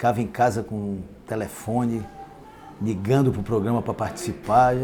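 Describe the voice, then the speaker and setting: A man's medium-pitched voice at a moderate pace, with ordinary pitch variation over noticeable background noise. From Pará, northern Brazil. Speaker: sports radio announcer. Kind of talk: interview answer.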